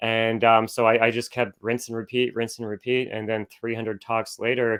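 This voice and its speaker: Speaking at a fairly quick pace with a Canadian accent, a man uses an unremarkable speaking voice at medium pitch. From Canada, Oshawa, Ontario. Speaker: business coach and public speaker. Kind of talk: podcast interview. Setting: in a motorhome, remote interview.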